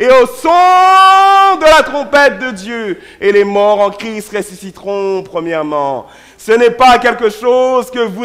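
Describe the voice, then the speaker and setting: Using an extremely high pitch with very wide pitch swings, a man speaks at a very slow pace. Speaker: pastor. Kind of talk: sermon. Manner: loud.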